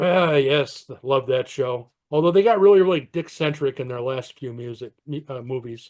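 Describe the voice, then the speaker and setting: With a normal speaking voice, a man talks at a moderate pace with hardly any pauses, his pitch fairly high and ordinarily varied. His loudness swings widely. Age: 60s. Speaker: podcast co-host. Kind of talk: casual chat.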